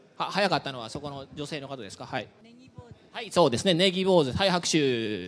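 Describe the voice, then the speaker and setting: With vocal fry and very wide pitch swings, a man talks at a fairly quick pace while his loudness shifts a great deal. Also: fairly high pitch for a man. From Ehime, Japan. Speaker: university researcher giving a talk. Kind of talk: public science lecture. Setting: lecture room with audience. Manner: friendly, with many fillers. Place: hall. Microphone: handheld.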